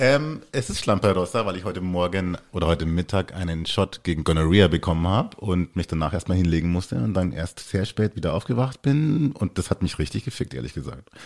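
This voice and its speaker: With hardly any pauses, a man talks at a fairly quick pace and a very deep, low pitch, his intonation lively. The recording is very clean, with a silent background. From Germany. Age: 40s. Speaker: podcast guest. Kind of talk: casual chat.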